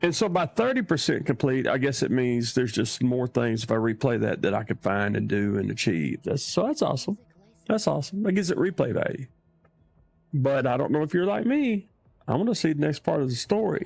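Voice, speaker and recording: With a Southern US accent, the speaker moves at a fairly quick pace, pitch swinging very widely while loudness stays very even. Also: man, fairly high pitch for a man. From US South. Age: old. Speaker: gaming streamer. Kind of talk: live gameplay commentary. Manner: animated.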